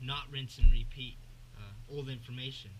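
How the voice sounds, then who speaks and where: A bright, sharp tone at a fairly quick pace, with ordinary pitch variation and audible room echo. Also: man. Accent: American. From US Northwest. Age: young. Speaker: fishing YouTuber. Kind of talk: casual vlog intro and tutorial. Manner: hesitant, many fillers.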